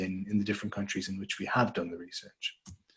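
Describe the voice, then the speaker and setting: With an Irish accent, a man talks in a somewhat breathy voice. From Ireland. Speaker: market research director. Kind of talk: webinar presentation.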